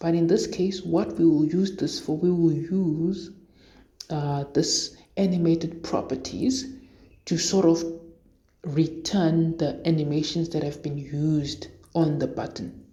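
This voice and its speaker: A woman speaks at a fairly slow pace in a fairly low pitch with ordinary pitch variation. Her tone is dark and mellow, somewhat breathy, with audible room echo. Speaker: programming tutorial creator. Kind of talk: tutorial. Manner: hesitant, many fillers.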